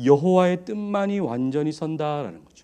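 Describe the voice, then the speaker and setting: A man's fairly high voice with a dark, mellow tone, ordinary pitch variation and a moderate pace. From Daegu, South Korea. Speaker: pastor. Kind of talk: sermon.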